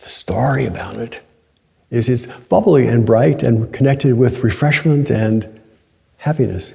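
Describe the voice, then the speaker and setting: A man's somewhat breathy voice at a fairly slow pace, with lively intonation. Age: 70s. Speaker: Zen teacher. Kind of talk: dharma talk. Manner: conversational.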